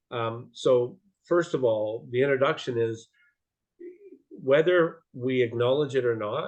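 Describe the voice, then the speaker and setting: A man speaking at a very slow pace with ordinary pitch variation. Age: 60s. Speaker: support group co-host. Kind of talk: casual livestream introduction. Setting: video call. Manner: halting.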